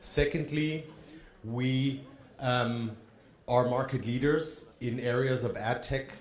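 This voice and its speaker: The speaker has an American accent and fairly even intonation, with room echo audible. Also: man. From Germany. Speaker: trade fair representative. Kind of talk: conference presentation. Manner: hesitant, with ums.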